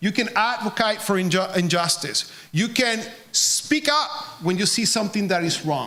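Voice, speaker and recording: Someone talks at a moderate pace in a Puerto Rican accent, with noticeable background noise behind them. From Puerto Rico. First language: Spanish. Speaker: charity representative. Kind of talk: speech to an audience.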